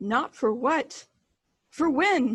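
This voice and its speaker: In a put-on character voice, this female-sounding speaker talks at a high pitch. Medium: audio drama. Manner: terse, cryptic.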